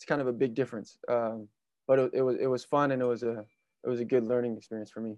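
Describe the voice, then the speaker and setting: In a West Coast accent, a man talks at a very fast pace with a medium pitch, monotone, flat intonation, and big swings in loudness. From California. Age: 20s. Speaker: basketball player. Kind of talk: interview.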